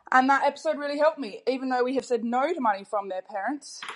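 Speaking at a fairly quick pace, a woman talks in an Australian accent. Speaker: caller. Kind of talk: voice message.

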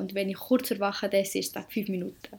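Recorded very cleanly against a silent background, a woman at medium pitch speaks at a moderate pace with vocal fry. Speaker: podcast co-host, apprentice. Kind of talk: casual chat.

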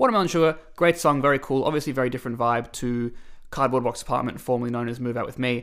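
Very fast Australian-accented speech on a very clean recording with a silent background. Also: man, medium pitch for a man, ordinary pitch variation. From Australia, Melbourne. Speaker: singer-songwriter. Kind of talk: casual chat.

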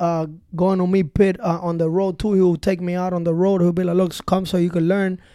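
The voice has a dark, mellow tone and comes with a Spanish accent. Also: man. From Cuba. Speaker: DJ and music producer. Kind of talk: casual interview chat. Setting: recording studio. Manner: animated, energetic.

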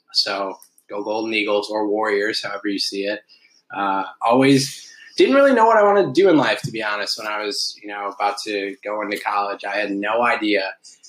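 In an Upper Midwest US accent, a man talks at a fairly quick pace with a fairly low pitch and monotone, flat intonation. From Milwaukee, Wisconsin. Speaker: TV news reporter. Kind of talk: casual chat. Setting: home kitchen.

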